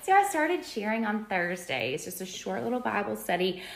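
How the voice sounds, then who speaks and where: Audible room echo surrounds a woman speaking at medium pitch. Her voice makes very wide pitch swings. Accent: Alabama. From Alabama, Birmingham. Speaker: home decor influencer, Bible teacher. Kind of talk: personal testimony in conversation.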